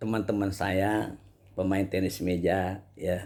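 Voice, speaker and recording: At a very slow pace, a man speaks. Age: 60s. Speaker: Islamic preacher and table tennis player. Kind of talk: casual advice monologue. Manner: halting, many fillers.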